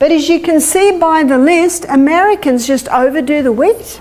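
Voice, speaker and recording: Through noticeable background noise, a woman with an Australian accent speaks at a fairly slow pace, with lively intonation and an extremely high pitch. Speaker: health lecturer. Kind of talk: lecture.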